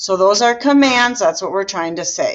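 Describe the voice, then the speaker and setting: Lively in intonation, a woman with a plain, everyday voice talks at a moderate pace. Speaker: Spanish teacher. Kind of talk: lecture.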